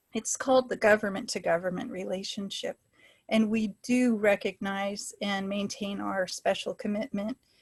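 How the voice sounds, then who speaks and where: This woman's voice is somewhat breathy, with a medium pitch and fairly even intonation at a moderate pace. The sound is dry and close, with no echo. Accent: American. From US Pacific Northwest, Washington State. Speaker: public health scientist, webinar speaker. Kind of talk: lecture. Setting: webinar, video call.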